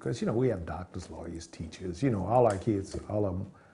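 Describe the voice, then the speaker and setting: A man's very deep, low voice, somewhat breathy, with a dark, mellow tone. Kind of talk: interview answer. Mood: proud, warm nostalgia. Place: home room.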